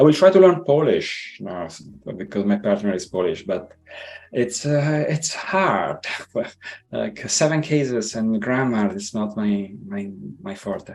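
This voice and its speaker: With a slight non-native accent, the speaker goes at a fairly slow pace, making very wide pitch swings and big swings in loudness over noticeable background noise. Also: man, medium pitch for a man. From Italy. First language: Italian. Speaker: tech engineer, podcast guest. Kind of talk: interview conversation. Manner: hesitant, many fillers.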